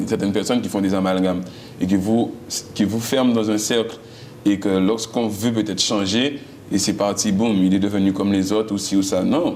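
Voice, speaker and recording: Fairly low in pitch, a man speaks at a fairly quick pace. Audible room echo and noticeable background noise are present. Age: young. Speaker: singer. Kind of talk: interview. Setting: TV studio. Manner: loud.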